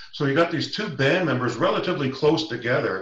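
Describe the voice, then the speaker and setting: A man with a Canadian accent talks at a moderate pace, his pitch fairly high and his voice somewhat breathy. Audible room echo surrounds the recording. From Canada. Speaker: First Nations knowledge keeper; guest. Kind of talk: storytelling. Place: office. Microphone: video call.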